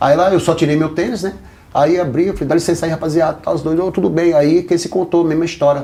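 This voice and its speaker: Delivered very fast, this voice carries a dark, mellow tone. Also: man, high pitch for a man. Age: 50s. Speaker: ex-gang member turned evangelical. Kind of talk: podcast interview, life story testimony. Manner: animated storytelling.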